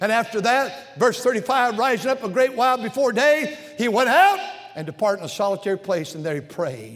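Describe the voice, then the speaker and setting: Lively intonation and a fairly quick pace mark this speech, heard over noticeable background noise. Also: man, extremely high pitch for a man. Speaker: pastor. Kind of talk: sermon. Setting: church pulpit. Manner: fervent preaching.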